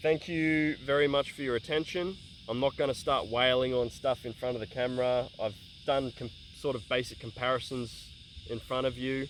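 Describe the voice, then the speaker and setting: Speaking with an Australian accent, a man keeps a medium pitch and fairly even intonation. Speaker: bladesmith and tool reviewer. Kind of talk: casual talk to camera. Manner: fast.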